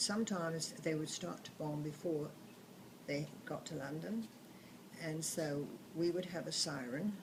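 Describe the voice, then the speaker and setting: A woman with a very deep, low pitch and ordinary pitch variation speaks at a moderate pace, with audible room echo and noticeable background noise. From southern England. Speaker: grandmother telling wartime memories. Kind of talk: oral history storytelling. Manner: halting.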